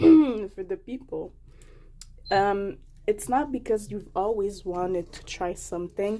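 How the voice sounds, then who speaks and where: Here a woman's voice sits at medium pitch with a dark, mellow tone. She goes at a very slow pace. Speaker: vlogger. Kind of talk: casual food tasting vlog.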